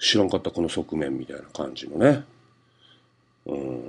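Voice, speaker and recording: Speaking at a moderate pace with a Hakata accent, a man's voice shows vocal fry. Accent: Hakata dialect (Fukuoka). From Fukuoka, Japan. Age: 40s. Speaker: comedian. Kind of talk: solo radio-style monologue. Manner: casual, filler-heavy.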